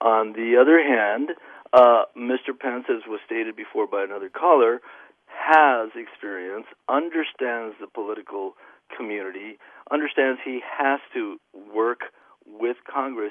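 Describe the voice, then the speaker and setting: Speaking slowly-ish in an ordinary speaking voice, a man of medium pitch shows ordinary pitch variation at a fairly slow pace. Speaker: caller. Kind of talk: call-in discussion. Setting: phone call.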